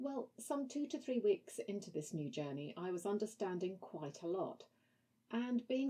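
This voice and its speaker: A woman talks at a moderate pace in a fairly high voice that is somewhat breathy, with a dark, mellow tone. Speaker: language learning vlogger. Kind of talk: book review with reading aloud. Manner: halting when reading French.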